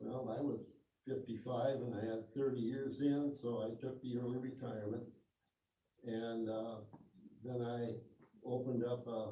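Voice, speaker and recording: In a room with audible echo, a man talks at a moderate pace and medium pitch, monotone and flat, with long, frequent pauses. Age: 80s+. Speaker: retired tractor plant employee. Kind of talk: audience Q and A talk.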